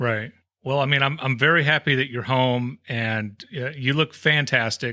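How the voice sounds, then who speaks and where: This man talks at a moderate pace and medium pitch with fairly even intonation. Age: 50s. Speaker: comedy podcast co-host. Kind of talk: casual chat. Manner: halting, many false starts.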